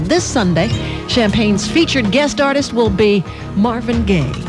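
The pace is moderate, and noticeable background noise can be heard. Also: woman. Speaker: radio DJ. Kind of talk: radio DJ patter. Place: studio.

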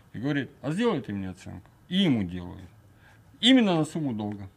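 A man speaks at a fairly quick pace, somewhat breathy. His pitch swings very widely. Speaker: talk show guest. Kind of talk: studio talk show discussion. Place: studio. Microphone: studio mic.

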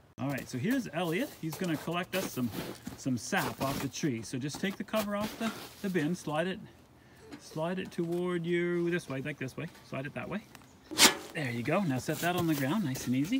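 There is noticeable background noise, and the sound is dry with no echo. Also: moderate pace. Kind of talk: casual instructive vlog talk. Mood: warm, encouraging. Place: forest. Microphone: phone near.

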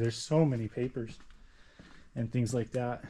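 Over light background noise, a man with a dark, mellow tone speaks at a fairly slow pace. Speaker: explorer vlogger. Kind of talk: casual vlog chat. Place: classroom. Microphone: phone near.

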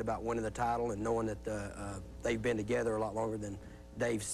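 Vocal fry at a very fast pace over light background noise. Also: man. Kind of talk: interview answer. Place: studio.

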